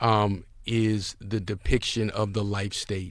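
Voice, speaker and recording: In a very clean recording with a silent background, a man with a fairly low pitch speaks in a monotone, flat intonation with a New York accent. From New York City (Harlem, Brooklyn). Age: 60s. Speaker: businessman. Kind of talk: interview.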